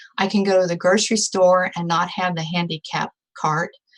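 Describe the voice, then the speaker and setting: A woman's medium-pitched voice moves along at a moderate speed. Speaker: product testimonial speaker. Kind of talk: testimony.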